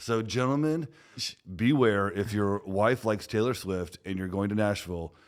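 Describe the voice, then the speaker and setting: On a very clean recording with a silent background, a man with an unremarkable speaking voice talks at a moderate pace, his pitch fairly low with ordinary variation. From Texas. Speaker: podcast host, security company CEO. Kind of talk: podcast interview.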